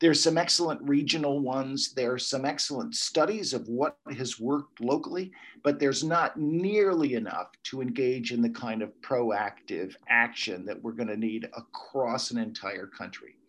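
A plain, everyday voice from a man with an American accent, moderate in pace with lively intonation, over a quiet background. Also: medium pitch for a man. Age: 60s. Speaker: ecology professor. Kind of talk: interview.

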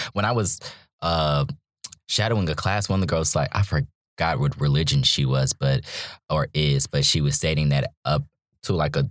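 A man with an American accent talks in a very deep, low voice with vocal fry, recorded with a dry, close sound and no echo. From North Carolina (Charlotte). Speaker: graduate student, former biology undergraduate. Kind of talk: casual interview. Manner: animated.

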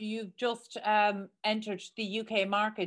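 This woman has an Irish accent. Her pitch sits fairly high. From Ireland. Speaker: podcast host. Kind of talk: interview. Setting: studio.

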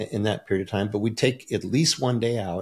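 On a very clean recording with a silent background, a man talks at a very fast pace. His pitch is fairly low with ordinary variation, and his voice is somewhat breathy. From Michigan, US. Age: 50s. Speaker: supplement company owner and business coach. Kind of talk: interview.

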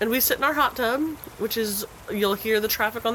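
Over noticeable background noise, a woman with an American accent and a fairly high pitch talks at a fairly quick pace with ordinary pitch variation. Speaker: podcast host. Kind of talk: casual chat. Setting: outdoors. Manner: casual, chatty.

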